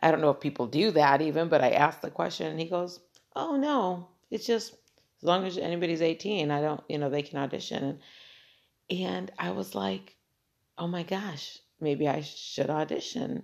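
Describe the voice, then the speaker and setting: Speaking at a moderate pace, a woman with a very deep, low pitch and vocal fry sounds animated, her pitch swinging very widely and her loudness rising and falling sharply. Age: 40s. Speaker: podcast host. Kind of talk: solo monologue.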